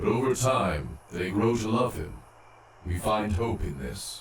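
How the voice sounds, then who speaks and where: A man's put-on character voice, fairly low-pitched, with a slight echo. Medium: audio drama. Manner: formal, speaks as a collective "we".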